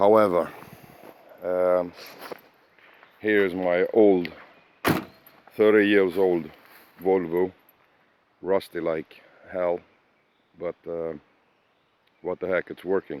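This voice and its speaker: A man's very deep, low voice with a non-native accent, very slow and monotone, with long, frequent pauses and a dry, close sound with no echo. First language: Swedish. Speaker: car hobbyist. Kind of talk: casual walkaround video. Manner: halting, many fillers.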